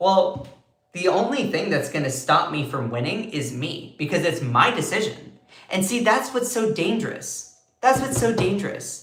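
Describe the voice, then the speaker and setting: Music plays behind an animated speaker with an American accent and very wide pitch swings. The pace is moderate, and room echo can be heard. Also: man, high pitch for a man. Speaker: political commentary streamer. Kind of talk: live stream commentary. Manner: slurs words sometimes.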